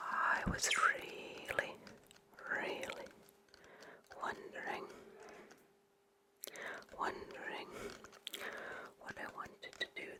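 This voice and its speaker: A whispered voice moves at a very slow pace, broken by long, frequent pauses, over noticeable background noise. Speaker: ASMR creator and masters athlete. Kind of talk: ASMR personal storytelling. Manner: soft-spoken, whispered.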